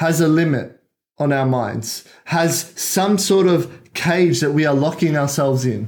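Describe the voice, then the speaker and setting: With a plain, everyday voice, a man talks at a fairly slow pace and a fairly high pitch. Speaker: podcast host. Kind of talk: solo monologue, personal story. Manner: reflective, motivational.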